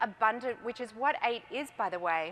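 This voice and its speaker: With an Australian accent, a woman speaks at a fairly high pitch with lively intonation. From Australia, Melbourne. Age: 40s. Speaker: entrepreneur. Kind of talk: conference talk. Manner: animated.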